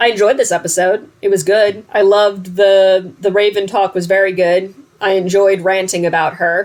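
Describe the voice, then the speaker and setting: A woman with an American accent talks at a fairly quick pace, medium in pitch and very even in loudness. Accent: New Jersey accent, comes out at times. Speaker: reaction video host. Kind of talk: casual reaction chat. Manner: rambling, casual with fillers.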